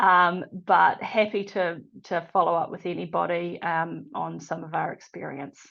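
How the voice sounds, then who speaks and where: A woman with a New Zealand accent against a quiet background. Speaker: probation expert presenter. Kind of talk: webinar presentation.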